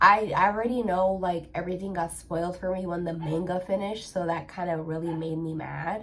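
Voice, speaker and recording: Audible room echo surrounds a woman's medium-pitched voice. Her tone is animated, with ordinary pitch variation, at a moderate pace. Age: 20s. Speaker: anime vlogger. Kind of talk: casual chat.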